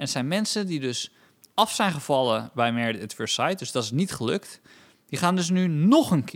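Very wide pitch swings mark a man's speech, delivered at a moderate pace. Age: 30s. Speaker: comedian and podcast co-host. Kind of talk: casual chat.

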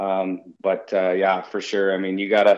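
This is a man's voice. He has a western Canadian accent. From Canada, Victoria BC (Vancouver Island). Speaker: junior hockey coach. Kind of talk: interview.

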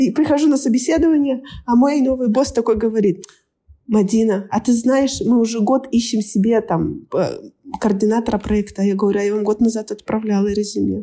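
A woman with a normal speaking voice, fairly high pitch, ordinary pitch variation, very even loudness and a moderate pace. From Kazakhstan, Almaty. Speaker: scrum master. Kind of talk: casual chat.

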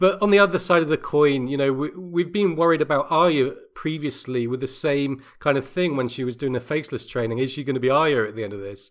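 Speaking fairly quickly with an English accent, a man uses a fairly high pitch and ordinary pitch variation. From England. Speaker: podcaster. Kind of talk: casual chat. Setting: video call.

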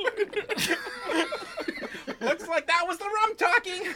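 Against clear background noise, a woman speaks at an extremely high pitch and a fairly slow pace, with ordinary pitch variation. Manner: brash, blunt.

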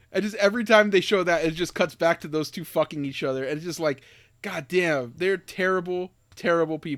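A man with an American accent at a high pitch and fairly quick pace, ordinary pitch variation, in a very clean recording with a silent background. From US. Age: 30s. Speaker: podcast host. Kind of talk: casual chat. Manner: animated.

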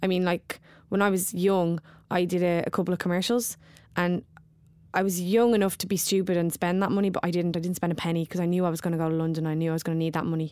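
A woman talks at a very fast pace in a Dublin accent with a fairly low pitch. The recording is very clean, with a silent background. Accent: Dublin Irish. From Dublin, Ireland. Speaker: actor and poet. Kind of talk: casual interview chat. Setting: theatre, between performances. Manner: animated, wired.

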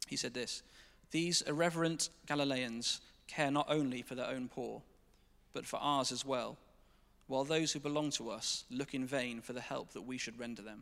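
A man's medium-pitched voice at a moderate pace, with an English accent. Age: 20s. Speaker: church staff member. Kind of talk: testimony. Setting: church stage with congregation.

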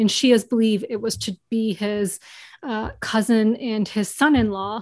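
An unremarkable speaking voice, a woman with an American accent talks at medium pitch with fairly even intonation, in a dry, close sound with no echo and a quiet background. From US, New York. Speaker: board game video creator. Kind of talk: interview.

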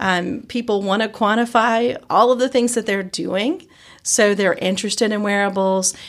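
On a very clean recording with a silent background, a woman speaks with a Southern US accent. Her voice is fairly high and her pace is moderate. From Georgia, US South. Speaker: biotech researcher and innovation organization leader. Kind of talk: casual interview. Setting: in-person studio/office interview.

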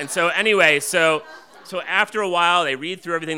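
A man with an American accent, fairly high pitch, lively intonation, and a fairly quick pace, over noticeable background noise. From New Jersey suburbs. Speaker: storyteller. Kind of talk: live storytelling. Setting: stage with audience.

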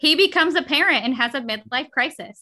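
Her tone bright and sharp, a woman talks with an American accent. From US South. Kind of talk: casual chat.

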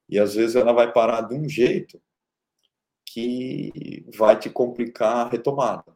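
A man's medium-pitched voice, fairly slow, with fairly even intonation, big swings in loudness and long, frequent pauses. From Brazil, interior of São Paulo state (Araraquara). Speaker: tech company founder and CEO. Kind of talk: interview. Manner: hesitant with frequent repetitions.

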